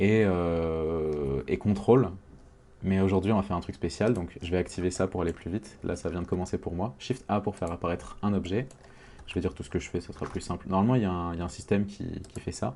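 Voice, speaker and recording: A man's very deep, low voice with a dark, mellow tone, ordinary pitch variation and a fairly quick pace. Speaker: 3D modeling tutorial maker. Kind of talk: tutorial. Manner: halting, many fillers.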